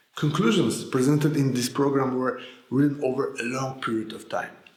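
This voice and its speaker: With a Polish accent, a man speaks at a moderate pace and medium pitch, his intonation fairly even, amid audible room echo. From Poland. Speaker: sales coach. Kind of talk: scripted narration.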